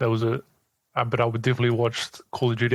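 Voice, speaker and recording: A man with a New Zealand accent at a very fast pace, in a dry, close sound with no echo. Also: very clean recording, silent background. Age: 30s. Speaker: esports news account runner. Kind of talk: podcast interview.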